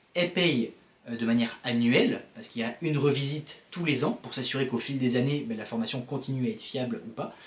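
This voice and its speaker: A man speaks at a very fast pace and a medium pitch. Noticeable background noise sits behind him. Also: ordinary pitch variation. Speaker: vlogger and founder of a course-rating service. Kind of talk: casual vlog. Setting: self-recorded on camera. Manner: animated. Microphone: built-in camera mic, poor sound.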